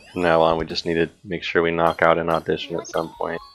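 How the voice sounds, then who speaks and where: The speech moves at a fairly quick pace with music in the background. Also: man. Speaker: game streamer. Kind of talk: casual chat. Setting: live stream. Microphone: bad mic, catches deeper parts of voice.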